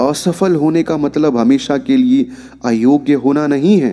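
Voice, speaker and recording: A man's fairly high voice with very wide pitch swings, music playing in the background. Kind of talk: motivational story narration.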